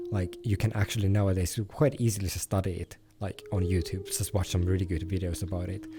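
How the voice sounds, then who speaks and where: With music in the background, a man with a non-native accent and fairly low pitch talks at a very fast pace using fairly even intonation. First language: not English. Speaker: meditation group leader. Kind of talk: casual discussion. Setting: VRChat voice chat. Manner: hesitant, many fillers.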